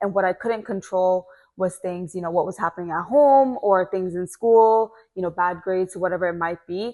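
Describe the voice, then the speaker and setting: A woman with an American accent has a plain, everyday voice, speaking at a moderate pace and medium pitch with a quiet background. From Atlanta, Georgia, USA. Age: 20s. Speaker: commercial real estate broker, former boxer. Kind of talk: podcast interview answer.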